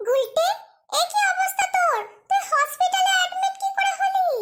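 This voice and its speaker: Here is a cartoonish character voice from a woman. It is squeaky and extremely high-pitched. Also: moderate pace. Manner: excitable, interrupting.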